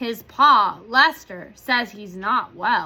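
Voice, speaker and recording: Using a put-on character voice, a woman speaks at a very slow pace in a fairly high pitch. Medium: read story.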